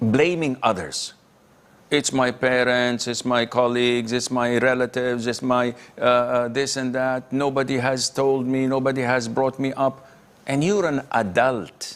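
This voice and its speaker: This is a man with a normal speaking voice at a medium pitch. He talks at a fairly slow pace with fairly even intonation. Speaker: Islamic scholar answering questions. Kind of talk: Islamic lecture Q&A answer, live broadcast. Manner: firm, stern, rebuking.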